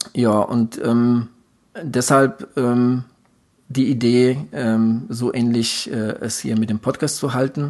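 A man speaks at a medium pitch and a very slow pace, his intonation fairly even. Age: 40s. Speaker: endurance sports podcast co-host, triathlete. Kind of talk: casual chat. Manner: halting, many filler sounds.

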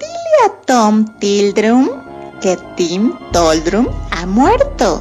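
A put-on character voice, female-sounding, shrill and squeaky, moves at a very slow pace with a fairly high pitch. Faint music plays in the background.

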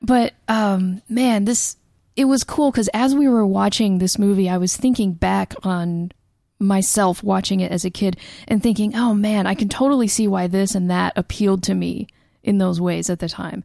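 A woman's medium-pitched voice, dark and mellow in tone, at a moderate pace with ordinary pitch variation. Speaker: podcast co-host. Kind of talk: casual chat.

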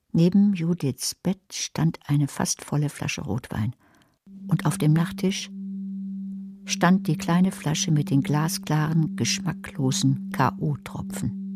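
A woman uses a put-on character voice, low in pitch with a slightly mellow tone and a slightly husky edge. She speaks at a slow pace. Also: ordinary pitch variation.

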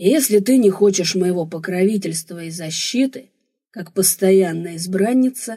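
Quiet surroundings and an unforced reading voice

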